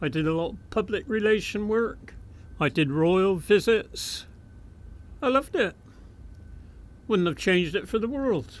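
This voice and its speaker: With a West Country accent, a man speaks at a high pitch and a fairly slow pace, his intonation lively and broken by long, frequent pauses. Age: 80s+. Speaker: retired railway fireman and photographer. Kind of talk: oral history interview. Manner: hesitant, with frequent fillers.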